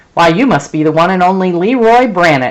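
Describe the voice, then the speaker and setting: A growling put-on character voice at middle pitch and a fairly quick pace. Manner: sarcastic.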